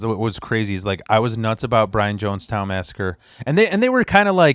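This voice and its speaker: An ordinary speaking voice comes at a fairly quick pace with an American accent. The pitch variation is ordinary. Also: man. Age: 30s. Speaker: podcast host. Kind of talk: casual chat.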